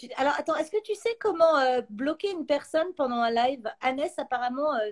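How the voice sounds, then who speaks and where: Recorded dry and close with no echo, a woman with a high pitch uses lively intonation at a moderate pace. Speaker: YouTuber and actress hosting a live chat. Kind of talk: casual chat on a livestream. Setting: live stream.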